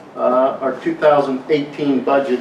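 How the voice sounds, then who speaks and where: A man talks at a fairly high pitch, with audible room echo and noticeable background noise. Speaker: chief financial officer. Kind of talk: corporate address. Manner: fast.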